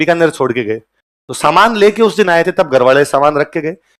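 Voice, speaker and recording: A man with a high pitch and an animated tone speaks at a moderate pace. His pitch variation is ordinary. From Rajasthan, Ganganagar canal belt (Bikaner district). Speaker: coaching teacher. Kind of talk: lecture.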